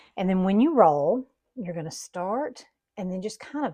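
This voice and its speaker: Somewhat breathy and dark, mellow in tone, a woman's medium-pitched voice swings very widely in pitch. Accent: Southern US. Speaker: home baking video host. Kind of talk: cooking tutorial. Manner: casual, folksy.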